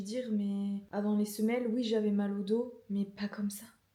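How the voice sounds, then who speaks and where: Over noticeable background noise, a woman talks at a moderate pace in a fairly high pitch, her intonation flat and monotone. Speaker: ceramics vlogger. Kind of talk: casual vlog diary. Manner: hesitant, many fillers.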